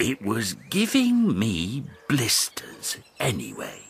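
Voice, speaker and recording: A man puts on a character voice at medium pitch. He speaks at a very slow pace. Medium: read story. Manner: warm, cheerful.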